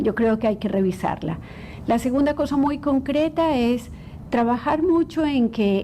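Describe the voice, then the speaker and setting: A woman talks at a fairly slow pace with a high pitch and lively intonation. There is noticeable background noise. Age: 60s. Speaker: clinical psychologist. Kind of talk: interview.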